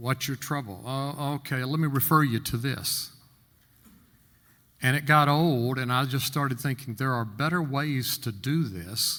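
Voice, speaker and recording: On a very clean recording with a silent background, a man with a medium pitch and a bright, sharp tone talks at a fairly slow pace with ordinary pitch variation. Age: 70s. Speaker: insurance agent and workshop panelist. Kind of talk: panel talk, personal testimony.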